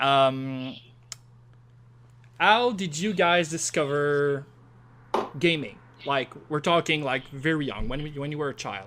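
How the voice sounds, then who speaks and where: In a strong French accent, a man speaks at a very slow pace with long, frequent pauses. His pitch is fairly high, with ordinary pitch variation. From Quebec. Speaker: podcast host. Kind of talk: casual interview.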